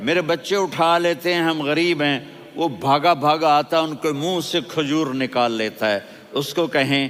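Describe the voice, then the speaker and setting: Here is a man with an ordinary speaking voice. His pitch is fairly high, with ordinary variation. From Pakistan. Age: 60s. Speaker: Islamic preacher and scholar. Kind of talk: religious sermon (bayan) to a congregation. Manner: emotional, storytelling.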